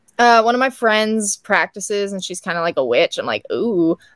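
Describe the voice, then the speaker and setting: Heard in a dry, close sound with no echo on a very clean recording with a silent background, a woman has an ordinary speaking voice at a medium pitch, with ordinary pitch variation and a moderate pace. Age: young. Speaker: scientist, inventor and pageant contestant. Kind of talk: casual chat.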